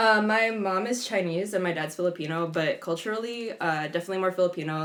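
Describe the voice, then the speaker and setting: Over noticeable background noise, a woman speaks very fast at a medium pitch with ordinary pitch variation. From San Jose, California (US West Coast). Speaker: DJ and psychotherapist. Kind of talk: casual interview conversation. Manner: casual, lots of fillers.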